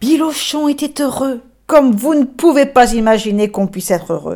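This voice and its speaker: This woman speaks in a high pitch with a dark, mellow tone and lively intonation. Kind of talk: bedtime story telling. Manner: animated, voicing characters (grumpy ox, braying donkey, gentle man); soft, tender, slowed down in gentle moments.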